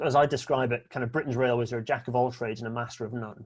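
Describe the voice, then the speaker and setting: Over a quiet background, a man with a Scottish accent speaks very fast in a medium, somewhat breathy voice. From Scotland. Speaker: railway speaker. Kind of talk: presentation talk.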